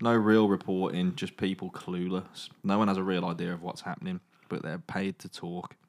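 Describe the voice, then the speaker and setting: In a very clean recording with a silent background, a man with an English accent speaks at a moderate pace in a fairly low, playful tone. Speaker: podcast host. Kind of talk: dramatic narration of a choose-your-own-adventure zombie book. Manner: suspenseful storyteller voice, hushed for tense moments; breaks into playful asides and mock accents.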